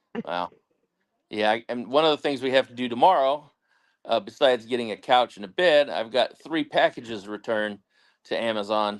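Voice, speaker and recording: A man with a medium-pitched voice speaks at a fairly quick pace with lively intonation, in an ordinary speaking voice, with a dry, close sound and no echo. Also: very clean recording, silent background. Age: 50s. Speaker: co-host or guest on homestead livestream. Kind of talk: casual chat.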